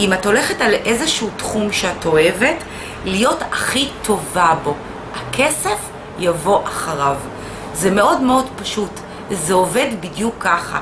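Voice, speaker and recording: Over noticeable background noise, a woman speaks at a fairly slow pace. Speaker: instructor. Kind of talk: casual vlog chat. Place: shop. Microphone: camera far.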